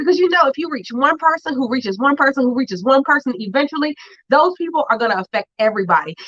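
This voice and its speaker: Loud and animated, the voice races at a very fast pace with lively intonation and a dry, close sound with no echo. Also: woman, high pitch for a woman. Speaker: educational leadership coach and show host. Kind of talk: live show monologue.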